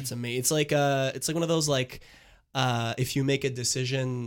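This man has a plain, everyday voice, medium in pitch, talking at a fairly quick pace with fairly even intonation. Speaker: sports podcast co-host. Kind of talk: casual chat. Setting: studio.

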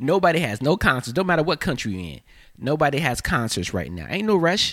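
Very wide pitch swings, vocal fry and a fairly quick pace. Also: man. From North Carolina. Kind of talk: casual chat. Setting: studio. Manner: animated.

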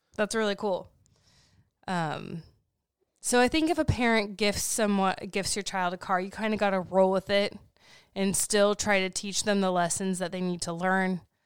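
A woman with an unremarkable speaking voice, medium pitch, and fairly even intonation speaks at a moderate pace in a very clean recording with a silent background. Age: 30s. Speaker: podcast co-host and life coach. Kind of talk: casual chat. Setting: home studio, recorded for livestream.

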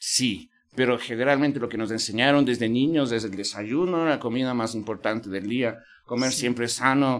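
Using an ordinary speaking voice, a man at a medium pitch talks at a moderate pace with ordinary pitch variation in a very clean recording with a silent background. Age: 50s. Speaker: podcast host. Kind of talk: interview conversation. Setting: university venue.

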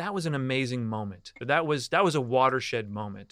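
A man with a Canadian accent speaks in a fairly high pitch, his tone bright and sharp. His intonation is lively, and the recording is very clean with a silent background. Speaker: podcast host and cannabis lawyer. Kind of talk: interview conversation. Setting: studio.

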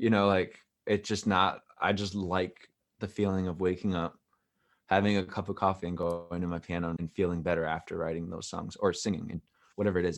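A man talks at a very deep, low pitch with fairly even intonation. His pace is fairly quick, against a quiet background. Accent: American. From New York City. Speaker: singer-songwriter. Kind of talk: casual interview.

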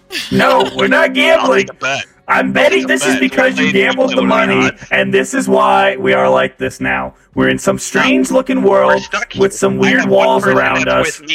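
A man puts on a robotic, raspy character voice at a very deep, low pitch. He keeps a moderate pace. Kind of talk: comic in-character roleplay. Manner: confused, panicky, then bristling.

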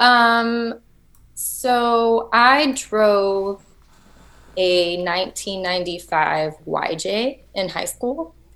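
A woman with a Texan accent, a very slow pace, ordinary pitch variation and a quiet background. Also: medium pitch for a woman. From Texas. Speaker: overlanding enthusiast. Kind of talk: casual chat.

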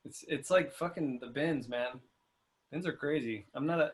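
At a moderate pace, a man speaks in a somewhat breathy, fairly high voice with ordinary pitch variation. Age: 30s. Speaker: vintage clothing dealer. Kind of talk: casual chat.

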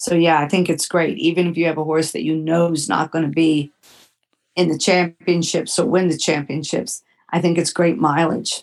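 A woman with an ordinary speaking voice talks at a moderate pace and a fairly low pitch, her intonation fairly even. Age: 60s. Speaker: horse trainer and event organizer. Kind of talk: interview.

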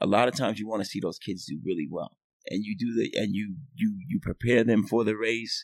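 A man with a normal speaking voice and an American accent talks at a fairly quick pace with a medium pitch. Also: ordinary pitch variation. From New York City (Manhattan). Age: 50s. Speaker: swim coach. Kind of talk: casual chat.

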